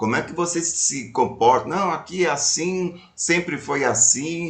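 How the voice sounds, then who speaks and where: The man's voice sits fairly high in pitch. Noticeable background noise runs underneath. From Brazil, São Paulo city. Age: 60s. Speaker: retired speaker and storyteller, activist. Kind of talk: casual chat.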